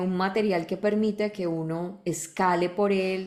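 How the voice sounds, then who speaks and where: Speaking at a very slow pace, a woman keeps her medium-pitched voice fairly even in intonation. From Medellín, Colombia. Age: 30s. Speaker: radio and TV announcer, voice actor. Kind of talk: interview answer.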